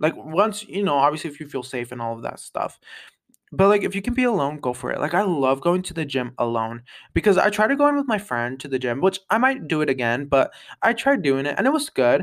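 Fairly high-pitched with very wide pitch swings, a man talks at a fairly quick pace on a very clean recording with a silent background. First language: English, also speaks Spanish. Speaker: podcast host. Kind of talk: casual solo chat.

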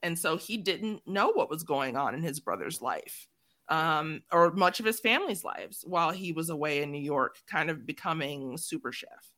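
A woman speaks at a moderate pace in a normal speaking voice, with an American accent. Her pitch is fairly low with ordinary variation, on a very clean recording with a silent background. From Chicago, south side. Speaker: podcast host. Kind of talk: casual chat.

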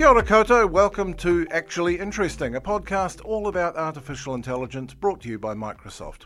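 A man with a high pitch and a New Zealand accent, very fast pace with hardly any pauses, very wide pitch swings and big swings in loudness. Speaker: podcast host. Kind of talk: interview; scripted intro.

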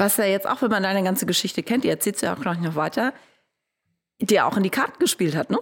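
A woman talks at a very fast pace with lively intonation. Her speech has long, frequent pauses. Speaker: podcast host. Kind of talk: interview. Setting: studio.

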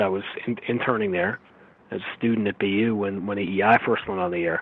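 With an American accent, a man talks at a fairly quick pace in an ordinary speaking voice, using ordinary pitch variation. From New York. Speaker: sports play-by-play broadcaster. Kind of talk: interview.

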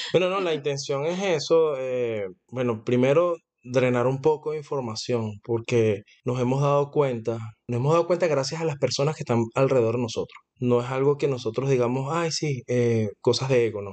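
A man speaks at a medium pitch. His pace is moderate and his pitch varies in an ordinary way. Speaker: podcast co-host, salesman. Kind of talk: casual chat. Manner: talkative.

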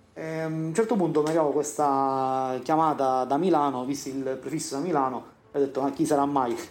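Audible room echo surrounds the voice. A man talks quickly enough, at a fairly quick pace and fairly high pitch, with fairly even intonation. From Sicily, Siracusa. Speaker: civil engineer. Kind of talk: interview testimony. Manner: halting.

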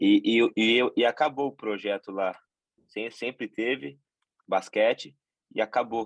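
A man speaking at a very slow pace. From Brazil, Tupã (São Paulo state). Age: 20s. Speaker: professional basketball player. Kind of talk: interview. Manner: halting, many repetitions and fillers.

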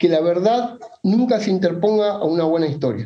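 With audible room echo, a man speaks in a high pitch and a dark, mellow tone, using ordinary pitch variation. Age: 40s. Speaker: whisky enthusiast guest. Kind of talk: casual chat.

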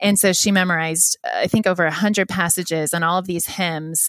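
A woman speaks in a normal speaking voice at a fairly low pitch and moderate pace, with fairly even intonation. The sound is dry and close with no echo, a very clean recording with a silent background. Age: 30s. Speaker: children's book author. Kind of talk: interview.

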